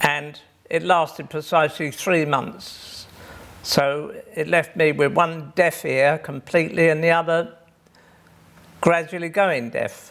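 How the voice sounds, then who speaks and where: The speaker has an English accent and talks at a fairly slow pace with fairly even intonation. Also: man, fairly high pitch for a man. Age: 70s. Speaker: deaf pianist. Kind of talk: personal testimony.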